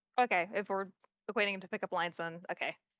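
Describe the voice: A woman at medium pitch, fast and fairly even in intonation, in a dry, close sound with no echo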